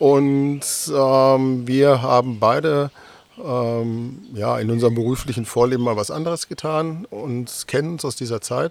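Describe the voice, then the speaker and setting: At a fairly slow pace, a man talks at medium pitch with ordinary pitch variation. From Westphalia, Germany. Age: 50s. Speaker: 3D object photographer. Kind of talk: interview. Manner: hesitant, many fillers and repeats.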